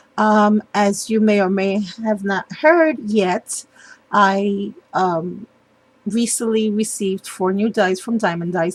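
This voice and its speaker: Somewhat breathy, a woman talks at a very slow pace with a medium pitch. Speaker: papercraft youtuber. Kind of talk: tutorial. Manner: hesitant, many ums.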